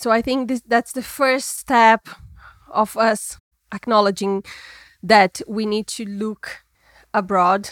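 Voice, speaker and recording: A Brazilian-accented voice with fairly even intonation, recorded dry and close with no echo. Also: woman. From Brazil, Minas Gerais. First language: Portuguese. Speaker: trend forecasting executive. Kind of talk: interview.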